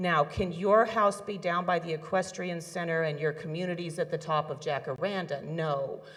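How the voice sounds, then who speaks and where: A woman with a fairly low pitch speaks at a moderate pace. She hardly pauses, keeping her intonation fairly even. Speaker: community fire safety organizer. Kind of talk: community meeting presentation. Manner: loud.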